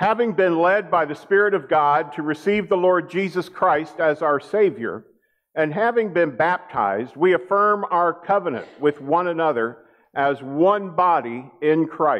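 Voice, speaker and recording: A man speaks with a high pitch. The background is quiet. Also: ordinary pitch variation, fairly slow pace. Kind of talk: church announcements and liturgical reading. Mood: warm, friendly. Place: church. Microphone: podium.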